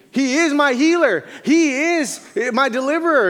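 Extremely high pitch for a man, at a fairly slow pace, with audible room echo. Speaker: missionary pastor. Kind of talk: sermon. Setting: church.

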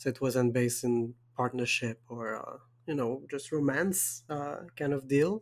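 With ordinary pitch variation, the man's voice sits at a medium pitch. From Quebec, Canada. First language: French. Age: 20s. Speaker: podcast host. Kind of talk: casual chat, podcast conversation.

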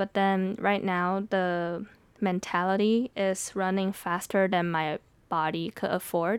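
A woman speaks with a Mandarin accent at a very slow pace, her loudness very even. Her intonation is monotone and flat, and the sound is dry and close with no echo. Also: medium pitch for a woman. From Taiwan. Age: 20s. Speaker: podcast host and poet. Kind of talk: solo podcast monologue. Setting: home recording room. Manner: conversational, reflective.

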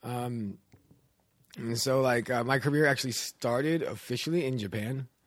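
Moderately paced speech from a man with a plain, everyday voice, a medium pitch and fairly even intonation. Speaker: independent filmmaker. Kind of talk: casual chat. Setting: studio.

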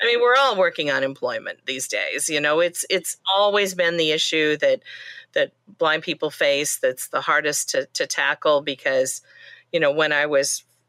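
A woman's voice comes through bright and sharp, with a dry, close sound that carries no echo. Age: 60s. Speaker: blindness advocate and library director. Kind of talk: interview.

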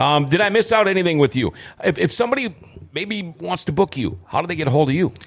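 Speaking very fast in an American accent, a man uses a high pitch with very wide swings. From Minnesota. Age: 50s. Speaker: podcast host, former radio host. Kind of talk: casual chat. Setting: studio.

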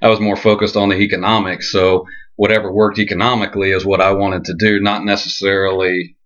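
Against a quiet background, a man talks at a very fast pace in a fairly low pitch, his intonation monotone and flat. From central Florida (Ocala). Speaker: cattle ranch manager. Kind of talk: podcast interview.

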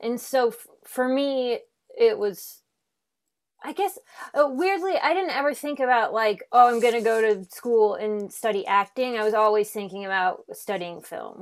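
With a plain, everyday voice, a woman speaks at a moderate pace in a fairly high pitch with lively intonation. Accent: American. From Nebraska, Omaha. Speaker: actress and improviser. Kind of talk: casual chat. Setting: video call.

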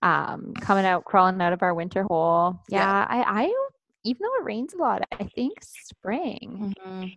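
In a normal speaking voice, a woman talks at a medium pitch and moderate pace with ordinary pitch variation. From Ontario, Canada (small town). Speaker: podcast host, mother. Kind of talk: casual chat. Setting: online call.

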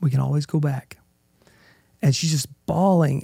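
Somewhat breathy and dark, mellow in tone, a man with a fairly high pitch speaks at a moderate pace. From Oklahoma. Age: 40s. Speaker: adoptive father, former engineer.

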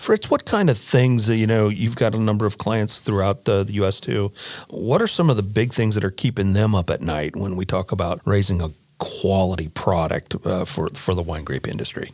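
An ordinary speaking voice from a man with an American accent and ordinary pitch variation. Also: fairly low pitch for a man, fairly quick pace. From Nebraska. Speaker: podcast host. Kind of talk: interview. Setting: studio.

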